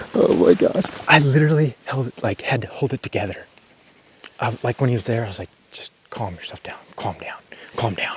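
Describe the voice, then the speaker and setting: A man at medium pitch with lively intonation, big swings in loudness and long, frequent pauses, in a dry, close sound with no echo and noticeable background noise. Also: fairly quick pace. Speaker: bowhunter. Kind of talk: casual chat. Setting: outdoors. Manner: animated.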